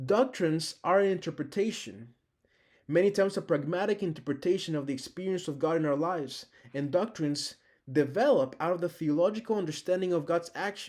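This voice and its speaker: A high-pitched man with a Spanish accent at a fairly quick pace, his pitch varying in an ordinary way, on a very clean recording with a silent background. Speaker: teaching assistant. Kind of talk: recorded lecture.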